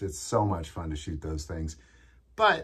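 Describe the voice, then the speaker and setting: Somewhat breathy, a man speaks at a moderate pace against a quiet background. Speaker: gun channel host. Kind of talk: commentary. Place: home room.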